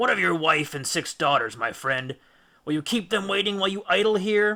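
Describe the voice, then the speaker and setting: A man puts on a raspy character voice, pitched high with lively intonation, moving at a fairly quick pace. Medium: read story. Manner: authoritative, commanding.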